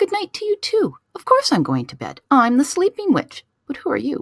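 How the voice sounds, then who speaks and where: A woman puts on a squeaky, high-pitched character voice and speaks at a moderate pace. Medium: read story. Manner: sleepy, slow.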